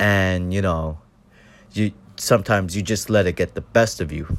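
The voice is quiet at a moderate pace. The recording is very clean with a silent background. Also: man. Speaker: first-time podcaster. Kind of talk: personal monologue. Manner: halting.

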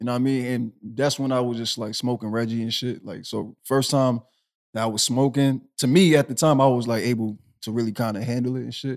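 Delivered in an American accent, an ordinary speaking voice moves at a fairly quick pace with fairly even intonation on a very clean recording with a silent background. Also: man, medium pitch for a man. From Boston, Massachusetts. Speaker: podcast co-host. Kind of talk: casual chat.

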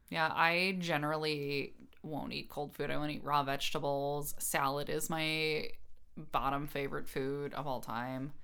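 A woman's very deep, low voice with a bright, sharp tone, monotone, flat intonation and a moderate pace, over audible room echo. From Illinois Chicago suburbs and Wisconsin. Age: 30s. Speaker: podcast co-host. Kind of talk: casual chat.

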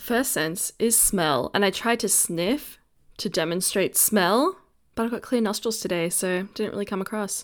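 The recording is very clean with a silent background. A woman with a plain, everyday voice speaks at a medium pitch and moderate pace, with ordinary pitch variation. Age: 20s. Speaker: podcast co-host. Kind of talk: casual chat. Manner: laughs often.

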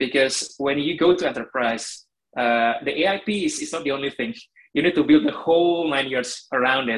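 A man's a plain, everyday voice at a moderate pace. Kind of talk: casual interview chat. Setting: video call.

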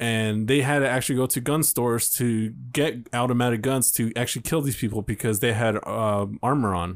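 A man with a normal speaking voice talks at a fairly quick pace with hardly any pauses. His medium pitch keeps a fairly even intonation, and his loudness stays very even. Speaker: podcast co-host. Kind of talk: casual banter, comedy chat. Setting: studio booth. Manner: joking, playful.

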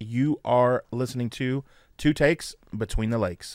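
Someone with an American accent speaks at a fairly slow pace with fairly even intonation. It is a plain, everyday voice. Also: man. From San Francisco Bay Area, then Fort Wayne, Indiana. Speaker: sports podcast co-host. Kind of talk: casual chat.

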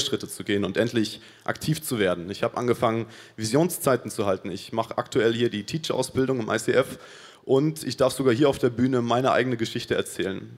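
This man uses a normal speaking voice at a medium pitch. He moves at a fairly quick pace with ordinary pitch variation. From Paraguay. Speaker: church volunteer. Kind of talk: testimony.

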